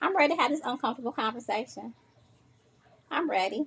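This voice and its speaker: Lively intonation marks a woman speaking at a fairly quick pace. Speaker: social media livestream host. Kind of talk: solo livestream talk to viewers. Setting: livestream at home on sofa. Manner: fast.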